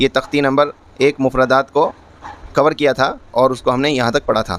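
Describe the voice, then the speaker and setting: With a dry, close sound and no echo, a man speaks in fairly even intonation against noticeable background noise. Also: medium pitch for a man. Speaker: Quran teacher. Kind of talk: Quran lesson teaching, explaining letter shapes.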